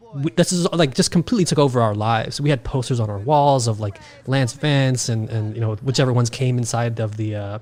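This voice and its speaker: A man's medium-pitched, fairly quick speech with an American accent and ordinary pitch variation, amid noticeable background noise. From New York City (Queens). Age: 30s. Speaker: podcaster, gaming guest. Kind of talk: casual chat. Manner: animated.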